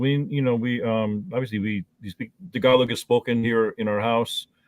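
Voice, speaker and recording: With a Midwestern accent, a man talks at a moderate pace, his medium pitch varying in an ordinary way. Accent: American Midwest. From northeastern Ohio, US. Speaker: mayor and attorney. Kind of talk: interview. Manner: halting, many repetitions.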